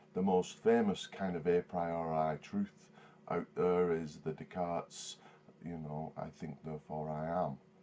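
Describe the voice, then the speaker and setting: The delivery is fairly slow. Its intonation stays monotone and flat. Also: man, very deep, low pitch for a man. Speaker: vlogger. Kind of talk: video response commentary. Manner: halting, many fillers and repeats.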